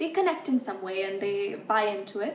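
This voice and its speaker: Amid noticeable background noise, a woman delivers her words rather quickly. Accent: American. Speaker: musician and content creator. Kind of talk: casual interview chat.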